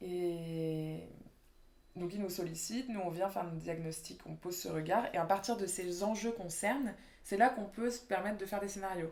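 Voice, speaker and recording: With audible room echo, a woman speaks at a moderate pace in a medium pitch with ordinary pitch variation. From Réunion. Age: 20s. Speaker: urban planning architect. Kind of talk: interview. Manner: casual, hesitant with fillers.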